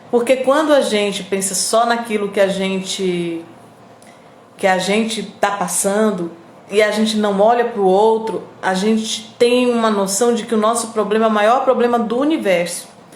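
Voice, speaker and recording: A woman with a fairly high pitch speaks fairly slowly with fairly even intonation, with audible room echo and noticeable background noise. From Northeast Brazil, Piauí. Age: 50s. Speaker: radio host and online presenter. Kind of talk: live stream chat with viewers. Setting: live video stream.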